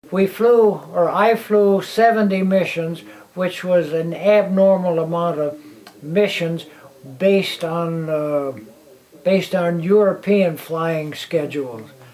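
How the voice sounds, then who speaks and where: At a very slow pace, a man with an American accent talks in a high pitch with ordinary pitch variation, while noticeable background noise sits behind him. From Illinois, near Chicago. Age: 80s+. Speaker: war veteran. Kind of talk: interview testimony. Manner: halting, repeating words.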